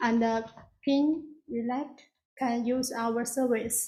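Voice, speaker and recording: A dark, mellow, flat monotone with a non-native accent and audible room echo. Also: woman. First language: not English. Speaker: applicant presenting a massage spa business. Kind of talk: public hearing presentation. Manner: halting.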